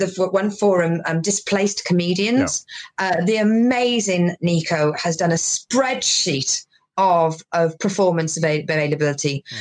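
A woman at medium pitch talks with lively intonation. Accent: Welsh. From Wales. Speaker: stand-up comedian. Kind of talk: casual interview chat. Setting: video call.

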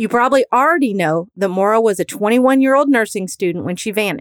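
A woman with a plain, everyday voice and an American accent speaks at a moderate pace with lively intonation and a fairly high pitch, in a dry, close sound with no echo. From US Midwest. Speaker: true crime podcast host and private investigator. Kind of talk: true-crime narration, scripted. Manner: steady, serious, storytelling; earnest, faith-minded.

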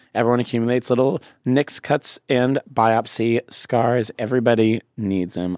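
A man with an American accent and an ordinary speaking voice, medium in pitch, at a moderate pace, with a dry, close sound with no echo, in a very clean recording with a silent background. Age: 30s. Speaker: comedian. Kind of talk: casual chat.

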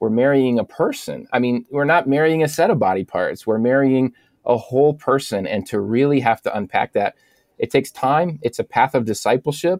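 A man speaks in an ordinary speaking voice with fairly high pitch and lively intonation at a moderate pace, recorded very cleanly against a silent background with a dry, close sound and no echo. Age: 40s. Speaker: pastor and author. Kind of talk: interview conversation.

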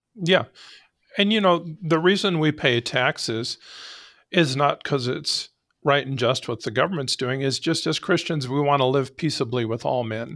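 Recorded very cleanly against a silent background, a man with an American accent and a normal speaking voice talks at a fairly high pitch with ordinary pitch variation. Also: moderate pace. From Arizona. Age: 60s. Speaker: sheriff. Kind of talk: interview conversation.

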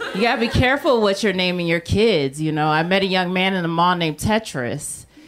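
There is noticeable background noise as a woman talks at a fairly quick pace. Her intonation is lively. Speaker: stand-up comedian. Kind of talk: stand-up comedy. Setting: stage with audience.

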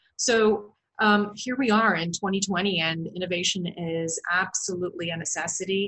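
In a Canadian accent, a woman with an unremarkable speaking voice and medium pitch talks at a moderate pace. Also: fairly even intonation. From Canada, Waterloo, Ontario. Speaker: marketing consultant and business co-founder. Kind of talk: interview.

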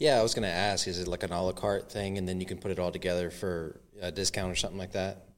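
This man has a very deep, low pitch and talks at a very fast pace with hardly any pauses and fairly even intonation. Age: 30s. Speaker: podcast host. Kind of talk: interview.

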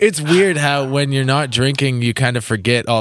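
An ordinary speaking voice from a man, medium in pitch with ordinary pitch variation, at a moderate pace on a very clean recording with a silent background. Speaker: podcast host, drummer. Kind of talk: casual chat; podcast intro monologue.

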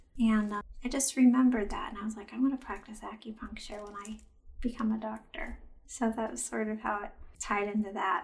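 Somewhat breathy, a woman talks at a fairly quick pace in a fairly high pitch. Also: fairly even intonation, big swings in loudness. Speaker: chiropractor and acupuncturist. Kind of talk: casual interview chat.

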